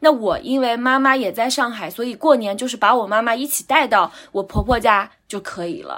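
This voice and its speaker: A woman talks in a high pitch with ordinary pitch variation. Her loudness swings widely. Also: moderate pace. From Anhui, near Huangshan (small county town). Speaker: guest sharing life experience. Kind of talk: casual chat.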